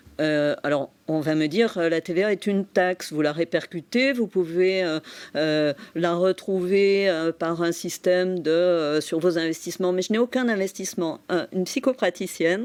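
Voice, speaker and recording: Ordinary pitch variation at a moderate pace on a very clean recording with a silent background. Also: woman, fairly low pitch for a woman, dry, close sound with no echo. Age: 60s. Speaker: psychotherapist and entrepreneur. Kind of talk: TV interview. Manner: hesitant, many fillers.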